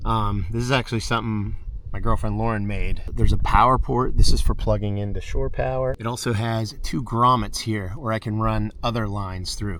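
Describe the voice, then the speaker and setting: Audible room echo surrounds a man's voice. He speaks quietly at a moderate pace. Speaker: van life vlogger. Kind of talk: casual van tour vlog. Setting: outdoors at a campground. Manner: quiet, keeping voice down.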